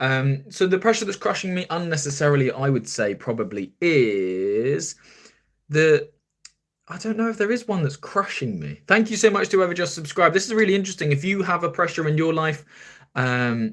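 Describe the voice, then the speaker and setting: In a southern English accent, a man talks fairly quickly at a fairly high pitch, his pitch swinging very widely. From southern England, near Brighton. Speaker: podcast host. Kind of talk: live stream chat. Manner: casual, chatty.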